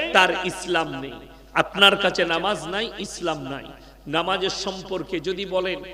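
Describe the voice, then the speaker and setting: A man's high-pitched, raised and projected voice, animated in tone, with big swings in loudness over noticeable background noise. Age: 30s. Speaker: Islamic preacher. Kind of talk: sermon. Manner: animated, calls on crowd to respond.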